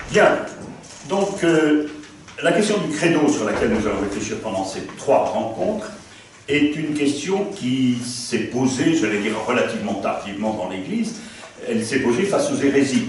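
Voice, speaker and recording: Amid noticeable background noise and audible room echo, a man talks fairly slowly at a fairly high pitch with very wide pitch swings. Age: 70s. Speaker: priest and theology lecturer. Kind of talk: lecture. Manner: conversational, hesitant fillers.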